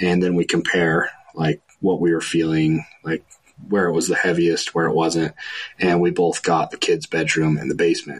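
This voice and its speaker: A man speaks in an American accent at a very deep, low pitch. His intonation stays fairly even, and the sound is dry and close with no echo. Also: moderate pace. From central Utah, Fillmore. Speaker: paranormal investigator. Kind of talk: casual interview.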